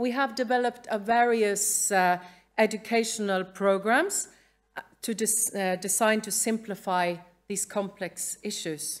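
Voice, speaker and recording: In a very clean recording with a silent background, a woman with a Norwegian accent speaks fairly slowly at a medium pitch, her intonation fairly even. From Norway. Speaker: museum educator. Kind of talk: conference talk read from script. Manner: halting.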